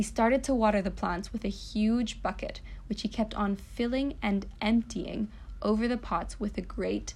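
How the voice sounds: Pitch shifts in an ordinary way across a natural reading voice.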